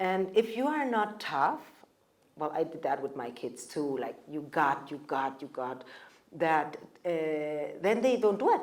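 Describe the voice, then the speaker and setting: A woman's very deep, low voice at a fairly slow pace, with long, frequent pauses and very wide pitch swings. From Mexico. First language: German. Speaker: panelist. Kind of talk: panel discussion.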